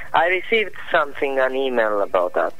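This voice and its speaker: A man with an Italian accent speaks at a moderate pace. Noticeable background noise and audible room echo fill the recording. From Italy. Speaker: economist. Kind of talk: phone interview. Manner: halting.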